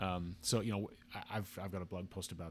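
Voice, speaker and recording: Recorded very cleanly against a silent background, a man with an American accent speaks in a very deep, low pitch with fairly even intonation. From Utah, Salt Lake area. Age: 40s. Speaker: blogger discussing scripture and symbolism. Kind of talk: casual chat. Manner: halting, frequent restarts.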